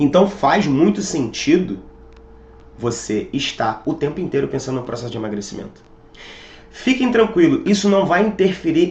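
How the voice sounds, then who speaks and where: A man's high pitch with very wide pitch swings at a moderate pace, over noticeable background noise. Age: 30s. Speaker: fitness coach. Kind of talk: motivational talk.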